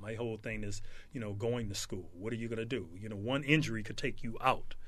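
A man with an American accent and a medium pitch uses a normal speaking voice with fairly even intonation. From South Central Los Angeles. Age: 60s. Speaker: former pro football player and speed trainer. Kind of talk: casual interview.

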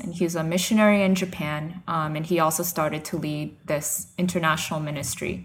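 A woman speaks at a moderate pace with an American accent, in an unremarkable speaking voice. Her pitch sits fairly low and her intonation stays fairly even. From New York / New Jersey area. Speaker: missionary. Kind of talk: interview testimony.

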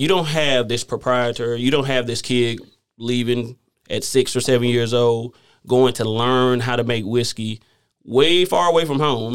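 A man with a Southern US accent at a medium pitch and moderate pace, with ordinary pitch variation. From US South. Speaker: whiskey company manager. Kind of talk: casual interview.

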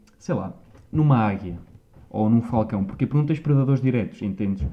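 The speaker is a man with a medium pitch. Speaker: podcast host. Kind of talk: casual chat.

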